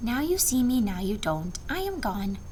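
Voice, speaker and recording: A female-sounding, put-on character voice at a fairly high pitch moves at a moderate pace over clear background noise. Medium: read story. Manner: polite, mild.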